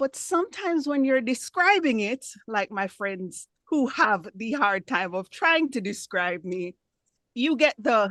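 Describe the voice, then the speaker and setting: A woman with a Jamaican accent speaks at a fairly slow pace in a fairly high voice, her pitch swinging very widely, in a dry, close recording with no echo. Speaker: club member giving impromptu speech. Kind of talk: impromptu speech.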